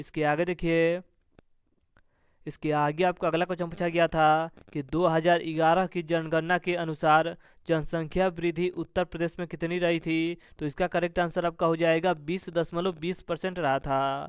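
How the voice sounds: Here a man speaks at a moderate pace in a clear, smooth tone. His pitch is fairly high and shows little movement.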